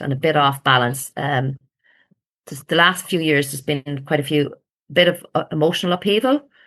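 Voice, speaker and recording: Speaking at a fairly quick pace with an Irish accent, a woman uses ordinary pitch variation over a quiet background. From rural Ireland. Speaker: ayurveda client. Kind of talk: podcast interview. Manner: animated.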